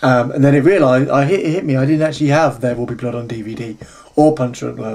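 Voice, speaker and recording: A man at medium pitch, talking very fast with ordinary pitch variation, over noticeable background noise. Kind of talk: casual talk to camera. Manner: stutters, loses track at start.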